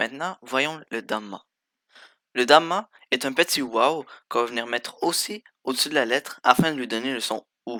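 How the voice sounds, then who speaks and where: A man's bright, sharp tone at medium pitch and moderate pace, with long, frequent pauses, in a dry, close sound with no echo on a very clean recording with a silent background. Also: ordinary pitch variation. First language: Arabic (speaking French). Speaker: language teacher. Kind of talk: tutorial.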